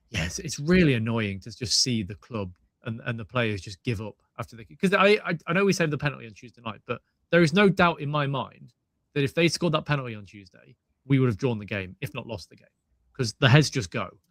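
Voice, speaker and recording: At a very fast pace, a man speaks at medium pitch with very wide pitch swings and big swings in loudness. The sound is dry and close, without echo. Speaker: football fan pundit. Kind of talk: casual chat.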